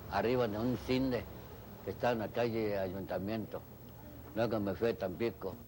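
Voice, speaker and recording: With a dark, mellow tone and a fairly low pitch, a man speaks at a moderate pace with fairly even intonation. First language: Chinese (speaking Spanish). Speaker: Chinese immigrant interviewee. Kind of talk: interview testimony.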